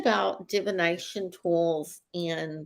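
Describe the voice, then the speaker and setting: This is a woman speaking. She has a Texas accent. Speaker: psychic show co-host. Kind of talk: casual chat.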